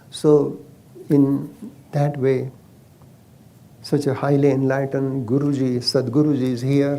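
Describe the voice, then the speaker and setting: Speaking in a Marathi accent, a man with a fairly high pitch and a dark, mellow tone talks fairly slowly in a flat monotone, leaving long, frequent pauses, with room echo audible. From India, Maharashtra. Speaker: Ayurveda physician. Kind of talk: casual chat.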